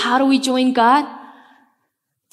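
At a moderate pace, a woman with a Spanish accent speaks in a high voice with monotone, flat intonation. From Bolivia, La Paz. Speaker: pastor. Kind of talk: sermon. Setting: church. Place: church. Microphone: headset.

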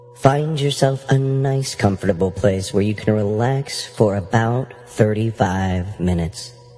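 Over music in the background, a man talks at a fairly slow pace with hardly any pauses and ordinary pitch variation. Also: fairly low pitch for a man. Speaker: hypnosis guide. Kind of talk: hypnosis guided meditation, audiobook narration. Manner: slow, soothing, relaxing.

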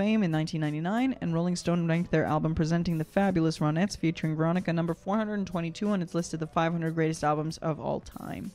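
A fairly low-pitched woman at a fairly quick pace with hardly any pauses and fairly even intonation, faint music behind her. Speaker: vocal coach reacting live. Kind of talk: reading an article aloud on a live reaction stream. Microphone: studio mic.

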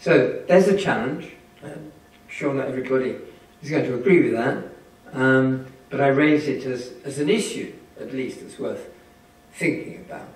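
Amid audible room echo, a man with a fairly high pitch and ordinary pitch variation talks at a moderate pace, with big swings in loudness and long, frequent pauses. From England. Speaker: statistics professor. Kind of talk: lecture. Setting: stage with audience. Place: hall.

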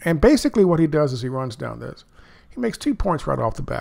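In an American accent, a man talks at a fairly quick pace with a fairly high pitch, big pitch swings, vocal fry and a slightly mellow tone.

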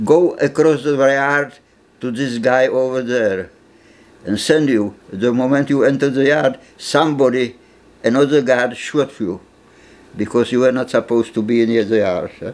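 A man with a Czech accent talks at a moderate pace with ordinary pitch variation. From Czechoslovakia. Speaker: Holocaust survivor; interviewee. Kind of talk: interview testimony; interview answer. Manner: halting, with repetitions. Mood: grave, matter-of-fact storytelling. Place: home room.

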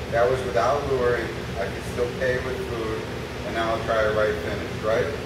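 Audible room echo and loud background noise surround a man speaking at a moderate pace. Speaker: dog trainer. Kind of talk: dog training commands with brief commentary. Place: hall. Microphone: camera far.

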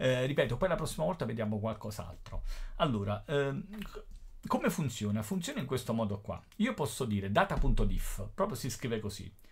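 His medium-pitched voice somewhat breathy, a man talks with very wide pitch swings. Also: moderate pace. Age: 50s. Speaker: teacher. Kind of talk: tutorial. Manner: casual.

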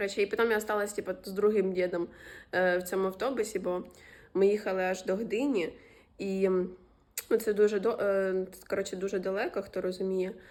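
A woman's fairly quick, monotone, flat delivery broken by long, frequent pauses, on a very clean recording with a silent background. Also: medium pitch for a woman. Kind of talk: casual vlog talk to camera. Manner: casual, profane.

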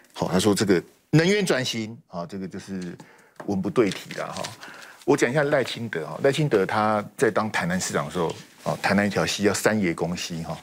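A man talks at a fairly quick clip in a fairly low voice, his intonation lively. Light background noise sits behind him. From Taiwan. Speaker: political commentator. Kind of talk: TV panel debate. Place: studio. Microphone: lapel.

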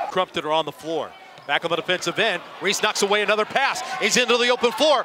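Raised and projected, a man's high voice comes across in an animated tone at a fairly quick pace, with noticeable background noise. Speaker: sports commentator. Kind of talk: live play-by-play basketball commentary. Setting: broadcasting a college game from the arena. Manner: animated, with a shouted 'it's good!' on big threes.

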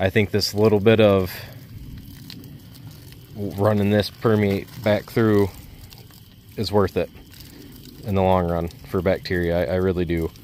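The speech is monotone and flat at a fairly slow pace, with long, frequent pauses. It sounds dry with no echo, over light background noise. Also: man, fairly low pitch for a man. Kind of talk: casual vlog chat. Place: forest. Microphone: phone near.

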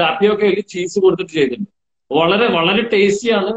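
Amid a quiet background and audible room echo, a man speaks at a high pitch with ordinary pitch variation. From Kerala, Kannur; Kerala, India. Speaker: celebrity chef; interviewee. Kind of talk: online interview. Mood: friendly, animated. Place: home room. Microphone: video call.

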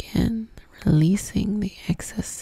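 A soft-spoken woman talks at a very slow pace in a soothing tone, her voice dry with no echo over a quiet background. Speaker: ASMR spiritual creator. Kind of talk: soft guided prayer and ASMR talk. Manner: soft-spoken, soothing, intimate. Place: home room. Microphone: studio mic.

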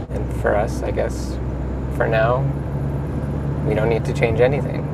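Loud background noise sits under a man's voice. The sound is dry with no echo, and he keeps a moderate pace. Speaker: travel vlogger driving. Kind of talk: casual vlog chat. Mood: calm, thoughtful. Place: car. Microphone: lapel.

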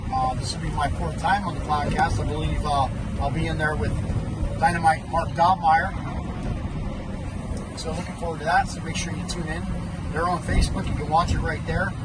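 Loud background noise runs under a man speaking at a fairly quick pace. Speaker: racing fan vlogger. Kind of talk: casual vlog chat. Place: car. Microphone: phone near.

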